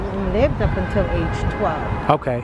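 Loud background noise behind a woman's voice. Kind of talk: interview answer. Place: street. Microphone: phone near.

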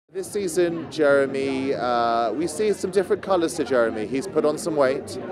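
A man speaks with lively intonation in a dry sound with no echo, though noticeable background noise is present. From England. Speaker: actor. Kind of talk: interview answer. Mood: cheerful, relaxed. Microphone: handheld.

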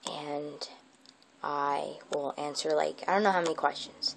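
Light background noise behind a woman at a moderate pace. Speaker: vlogger. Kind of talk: casual vlog chat. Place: home room. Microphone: earbuds.

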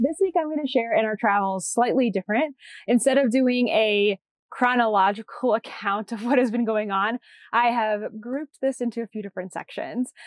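A woman with an American accent speaks at a fairly high pitch with ordinary pitch variation, in a dry sound with no echo and a quiet background. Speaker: knitting podcast host. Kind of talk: casual podcast monologue; casual vlog chat. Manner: loud; fast. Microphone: lapel.

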